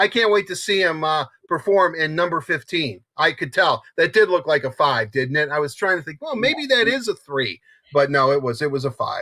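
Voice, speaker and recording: A man speaks in an animated tone with lively intonation, his fairly high voice bright and sharp. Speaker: hockey show co-host. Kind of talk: casual sports talk. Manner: fast.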